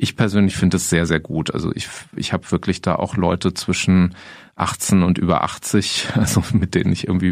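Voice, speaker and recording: A man speaks at a fairly quick pace. His voice is very deep and low. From Germany, Freiburg (Baden). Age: 50s. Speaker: counselor and former teacher. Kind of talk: interview.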